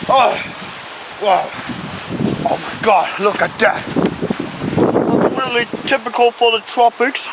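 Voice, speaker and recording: A man speaks at a very slow pace. Loud background noise is present. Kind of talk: comedic vlog commentary. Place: garden. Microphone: phone near.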